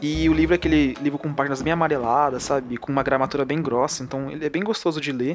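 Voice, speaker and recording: A man speaks at a very fast pace with a fairly high pitch, hardly any pauses and fairly even intonation over music in the background. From São Paulo, Brazil. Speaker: podcast co-host. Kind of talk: casual chat.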